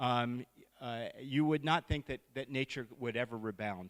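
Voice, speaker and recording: A man with an American accent uses a normal speaking voice at medium pitch and a moderate pace, the sound dry and close with no echo on a very clean recording with a silent background. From Montana, US. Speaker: conservation biologist and wildlife vet. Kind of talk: public talk with slides. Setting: live event audience.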